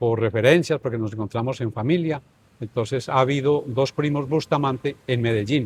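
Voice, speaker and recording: A somewhat breathy man at a moderate pace and medium pitch. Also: ordinary pitch variation. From Colombia, northern Tolima. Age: 70s. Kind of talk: interview, life story.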